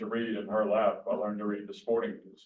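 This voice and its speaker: A man talks with an Alabama accent. Room echo is audible. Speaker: sportswriter. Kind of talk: Q&A talk. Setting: hybrid event with room audience and Zoom.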